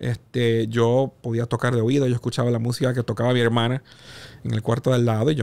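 This is an ordinary speaking voice. A man with medium pitch talks at a fairly quick pace. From Puerto Rico. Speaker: music executive and producer; podcast guest. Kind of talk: interview conversation. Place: studio. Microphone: studio mic.

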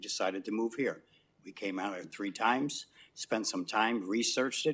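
A man's fairly low voice in an unremarkable speaking voice, with an American accent and ordinary pitch variation. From New York City. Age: 60s. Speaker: resident speaking at public comment. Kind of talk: public comment at council meeting. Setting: city council chamber.

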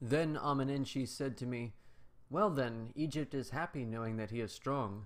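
Someone with an unremarkable speaking voice talks at a moderate pace. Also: man. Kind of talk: scripted narration, reading an ancient Egyptian tale aloud in the first person. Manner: formal, measured, solemn storyteller's delivery.

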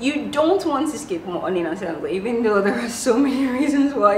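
A woman talks at a moderate pace with lively intonation, over light background noise and audible room echo. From Ghana. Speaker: vlogger. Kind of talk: casual talk to camera. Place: home room.

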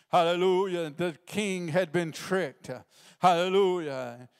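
Against a quiet background, a man with an American accent speaks in a high pitch with an animated tone. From US South. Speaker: preacher. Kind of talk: sermon, preacher in full flow, punctuated with hallelujahs and amens. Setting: church. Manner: animated, fervent, call-and-response style. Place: church. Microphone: handheld.

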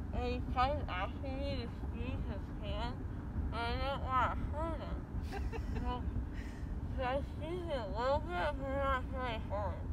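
A woman at a fairly slow pace, with long, frequent pauses, over loud background noise. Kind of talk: casual rambling chat. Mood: groggy, silly after anesthesia. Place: car. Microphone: phone near.

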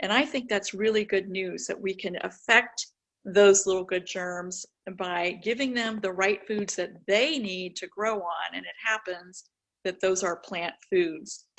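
A quiet background surrounds a woman. She reads at a fairly slow pace, and her pitch varies in an ordinary way. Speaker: presenter. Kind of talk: lecture.

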